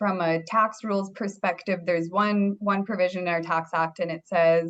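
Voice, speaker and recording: A woman in a Canadian accent, moderate pace, monotone, flat intonation. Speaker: accountant. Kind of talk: webinar presentation.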